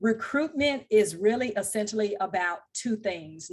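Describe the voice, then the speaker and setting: Against a quiet background, a woman speaks at a moderate pace with a Southern US accent. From US South, Louisiana and Mississippi. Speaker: technical recruiter. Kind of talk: podcast interview. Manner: formal.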